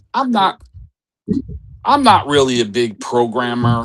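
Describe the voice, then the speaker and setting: A man talking at a very slow pace. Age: 60s. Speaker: digital forensics professional, military veteran. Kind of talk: interview.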